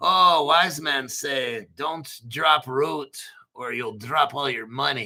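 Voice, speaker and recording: Putting on a raspy character voice, a man speaks at a very slow pace in a fairly high pitch. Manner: mystical, wise-sounding.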